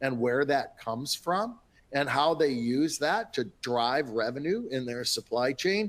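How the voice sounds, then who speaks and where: This man's voice sits fairly high in pitch, and he speaks with a Minnesotan accent. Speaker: industry analyst. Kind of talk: webinar panel talk. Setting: webinar.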